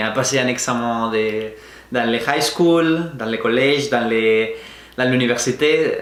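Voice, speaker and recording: A man with a Spanish accent speaks at a very slow pace. Noticeable background noise and audible room echo surround him. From Spain, Valencia region. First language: Spanish (speaking French). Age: 20s. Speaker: vlogger. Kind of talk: personal storytelling to camera. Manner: halting, with frequent hesitations.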